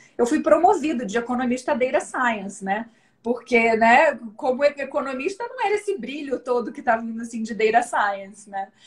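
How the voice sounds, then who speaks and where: A woman speaks with a high pitch. She has a Rio de Janeiro accent. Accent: carioca. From Brazil, Rio de Janeiro. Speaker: data analytics director, economist. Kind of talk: live stream interview. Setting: online live stream. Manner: casual, many fillers.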